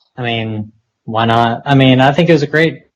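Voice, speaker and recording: A Southern US accent at a moderate pace, with fairly even intonation and a quiet background. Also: man. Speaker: podcast co-host. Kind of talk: casual chat.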